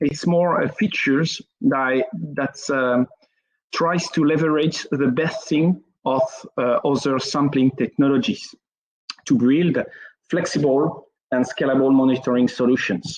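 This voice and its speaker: Using a French accent, a man talks at a fairly slow pace with long, frequent pauses. His voice is fairly high with ordinary pitch variation. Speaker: network engineer. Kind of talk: technical presentation. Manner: halting, many fillers.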